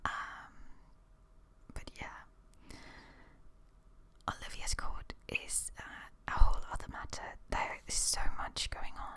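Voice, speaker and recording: Someone whispers at a very slow pace with long, frequent pauses. There is noticeable background noise. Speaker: ASMR creator. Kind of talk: rambling ASMR talk to camera. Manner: whispered.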